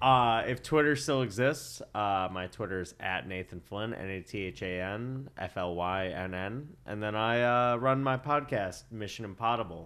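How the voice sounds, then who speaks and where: This is a man with an ordinary speaking voice and a fairly low pitch. He keeps a moderate pace with ordinary pitch variation and hardly any pauses. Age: 20s. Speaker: podcast guest. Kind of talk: casual chat.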